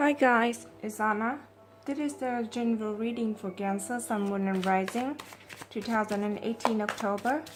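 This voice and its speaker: Over noticeable background noise, a woman with a non-native accent speaks at a fairly high pitch and a moderate pace, using ordinary pitch variation. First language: not English. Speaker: tarot reader. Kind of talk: tarot reading.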